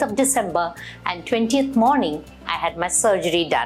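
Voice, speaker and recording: A woman talking at a moderate pace over music in the background. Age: 60s. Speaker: patient. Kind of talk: testimony. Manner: hesitant, with fillers.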